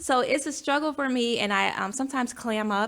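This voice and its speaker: A woman's voice with vocal fry, at a fairly quick pace. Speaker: podcast host, chapter president. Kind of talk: casual interview chat. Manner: hesitant, many fillers.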